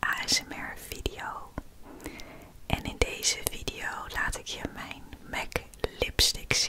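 Soft-spoken whispering comes at a very slow pace through loud background noise. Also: woman. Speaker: ASMR creator. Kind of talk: soft-spoken ASMR makeup showcase. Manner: soft ASMR whisper close to mic. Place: home room. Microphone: studio mic.

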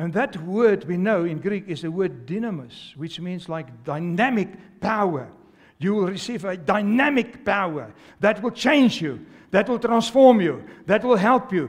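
A man's high, animated voice with lively intonation at a fairly slow pace, quiet background. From South Africa. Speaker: pastor. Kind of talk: sermon to a live congregation. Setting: church with congregation. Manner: animated, exhorting, call-and-response; fervent, repetitive, urgent preaching cadence. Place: church. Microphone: headset.

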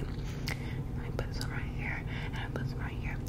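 Noticeable background noise surrounds a voice that is whispering. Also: woman. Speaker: ASMR creator. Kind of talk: ASMR get-ready-with-me makeup routine, casual talk to camera.

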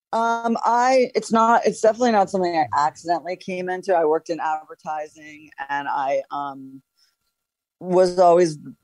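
A woman with an American accent has a plain, everyday voice, medium pitch and a moderate pace, recorded with a dry, close sound with no echo. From New York. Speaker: author and storyteller. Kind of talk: interview answer.

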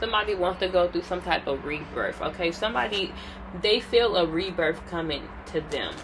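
A woman speaks at a moderate pace against noticeable background noise. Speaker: tarot reader. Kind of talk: tarot reading commentary. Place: home room. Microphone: phone near.

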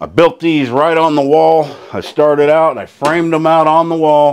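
A man speaks at a moderate pace, fairly high in pitch. His tone is clear and smooth, slightly mellow. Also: fairly even intonation.

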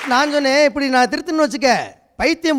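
A man speaks at an extremely high pitch. His intonation stays fairly even. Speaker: comedian and Tamil teacher. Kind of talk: stand-up.

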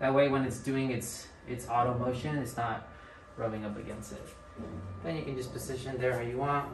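Noticeable background noise runs under the recording. The speaker talks at a fairly quick pace. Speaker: equipment trainer. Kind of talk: tutorial. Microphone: phone near.

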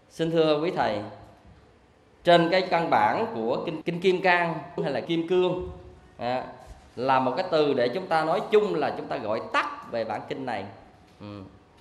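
A man's high-pitched voice at a fairly slow pace, with very wide pitch swings, long and frequent pauses, and audible room echo. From Vietnam. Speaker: Buddhist monk teacher. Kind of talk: dharma lecture. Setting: monastic retreat classroom. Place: classroom. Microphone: handheld.

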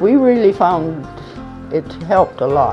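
Clear music plays behind the speaker. She is a woman. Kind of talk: interview answer. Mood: relaxed, convinced testimonial. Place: tunnel cave. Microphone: lapel.

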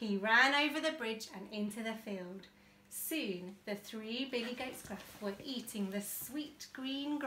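What you hear is an unforced reading voice.

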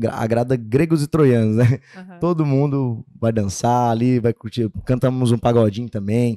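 Against a quiet background, a man speaks at a moderate pace with a dark, mellow tone. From Goiás countryside, Brazil. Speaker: sertanejo singer-songwriter; guest. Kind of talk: interview. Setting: studio. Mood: relaxed, friendly. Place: studio. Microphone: studio mic.

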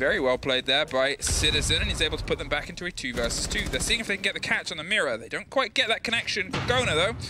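With music in the background, a man speaks in an energetic tone at a very fast pace, with hardly any pauses. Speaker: esports commentator. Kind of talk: live esports commentary, play-by-play. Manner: fast, urgent, energetic play-by-play.

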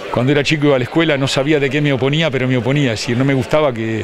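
Crowd noise fills the background while the voice, in a dry sound with no echo, keeps a fairly even intonation. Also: man. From Argentina, Buenos Aires province (Chacabuco); Buenos Aires province, Argentina. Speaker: physical education teacher and lecturer. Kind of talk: interview. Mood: reflective, personal. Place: hall. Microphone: handheld.

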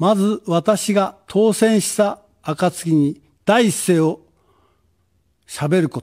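The speech comes at a very slow pace, with long, frequent pauses and ordinary pitch variation. The background is quiet. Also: man, high pitch for a man, big swings in loudness. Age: 70s. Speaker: political candidate; candidate. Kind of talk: campaign speech. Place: studio. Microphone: podium.

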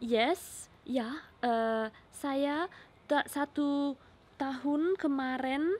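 A woman's high voice moves very slowly, its pitch rising and falling in a normal way. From Spain, Catalonia. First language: Spanish (speaking Indonesian). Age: 20s. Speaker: vlogger. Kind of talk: casual chat. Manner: halting. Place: garden. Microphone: phone near.

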